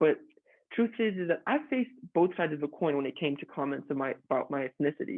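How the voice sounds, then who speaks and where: A man with a Mexican accent, lively intonation and a fairly quick pace. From southern Mexico. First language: Spanish. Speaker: student. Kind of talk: class speech.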